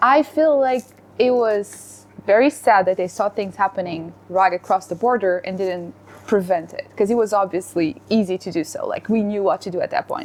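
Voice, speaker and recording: A woman's medium-pitched voice with a Portuguese accent, moderate pace, ordinary pitch variation, noticeable background noise. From Portugal. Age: 20s. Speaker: lawyer, panel guest. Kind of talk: casual discussion.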